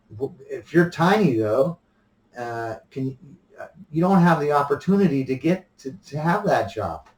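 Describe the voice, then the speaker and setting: Somewhat breathy and fairly high, a man's voice moves at a moderate pace with lively intonation and big swings in loudness. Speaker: vlogger. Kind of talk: opinion monologue. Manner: halting with frequent repetitions; soft-spoken.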